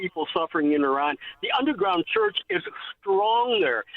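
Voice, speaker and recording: At a moderate pace, a man with an American accent swings his pitch very widely while his loudness stays very even. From Ohio, Toledo. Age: 70s. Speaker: caller. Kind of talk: phone call-in. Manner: halting.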